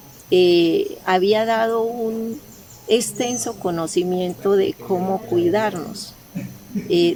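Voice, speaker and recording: There is noticeable background noise. Through it, a woman talks with ordinary pitch variation. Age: 60s. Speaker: retired hairstylist giving church testimony. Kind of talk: testimony. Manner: hesitant, many fillers.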